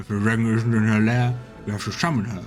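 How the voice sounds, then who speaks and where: Over clear music in the background, a man puts on a character voice at a medium pitch, talking very fast with fairly even intonation. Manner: smug, self-important.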